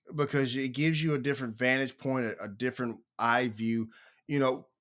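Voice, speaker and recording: With a plain, everyday voice, a man at medium pitch talks at a fairly quick pace and fairly even intonation in a very clean recording with a silent background. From United States. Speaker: podcast host. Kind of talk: interview.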